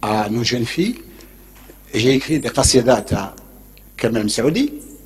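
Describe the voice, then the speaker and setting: Against noticeable background noise, a man with a medium pitch talks at a very slow pace. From Algeria, Béjaïa. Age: 70s. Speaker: urban planner and author. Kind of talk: lecture. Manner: informal, digressive.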